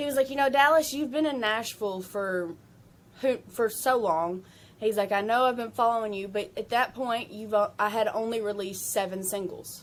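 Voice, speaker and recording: A woman is speaking. Her pitch is fairly high, with ordinary variation. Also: moderate pace. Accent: Southern US. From Kentucky. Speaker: country singer-songwriter. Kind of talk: interview chat. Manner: casual, many fillers.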